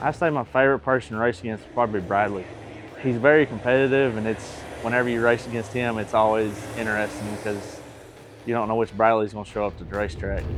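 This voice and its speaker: Noticeable background noise sits behind a man with an East Tennessee accent. He talks at a very fast pace in a medium-pitched voice with ordinary pitch variation. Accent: Southern US (East Tennessee). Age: 30s. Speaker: race car driver. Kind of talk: interview. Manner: casual.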